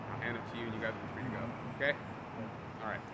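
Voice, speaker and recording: A man's voice amid loud background noise. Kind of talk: traffic stop questioning. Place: street. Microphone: camera far.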